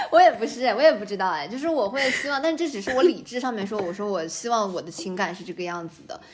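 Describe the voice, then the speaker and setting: A woman at a fairly quick pace, a plain, everyday voice. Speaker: game industry worker considering a PhD. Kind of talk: casual chat. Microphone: too far from the mic at first.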